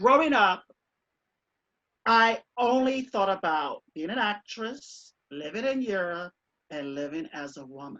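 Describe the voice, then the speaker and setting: A woman's bright, sharp, medium-pitched voice with an American accent, fairly slow, with long, frequent pauses, big swings in loudness and very wide pitch swings. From Michigan, near Detroit. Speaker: actress and singer. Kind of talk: casual chat.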